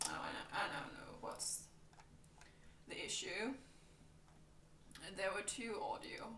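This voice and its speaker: Someone whispers in a Danish accent at a fairly slow pace, with long, frequent pauses. Noticeable background noise is present. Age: 20s. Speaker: streamer. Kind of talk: casual chat. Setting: live stream. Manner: soft-spoken. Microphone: mic output issues.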